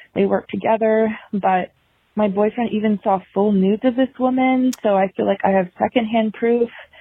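An unremarkable speaking voice with an American accent. The intonation stays fairly even. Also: woman. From Virginia. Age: 20s. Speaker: caller. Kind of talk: voicemail. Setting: phone call.

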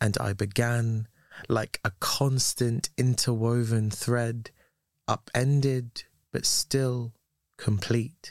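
With a dry, close sound and no echo, a man of medium pitch talks at a very slow pace, his intonation fairly even. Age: 30s. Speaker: poet. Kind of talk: poetry reading.

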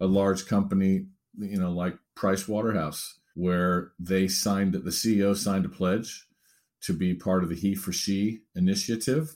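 A man's normal speaking voice, fairly low in pitch, on a very clean recording with a silent background. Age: 50s. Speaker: diversity consultant and author. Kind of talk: interview.

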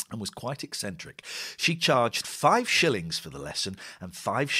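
A natural voice is heard reading aloud.

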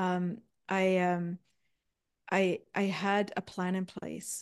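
Against a quiet background, a woman speaks at a medium pitch with a monotone, flat intonation. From East Germany. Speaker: life coach. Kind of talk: interview. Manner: halting.

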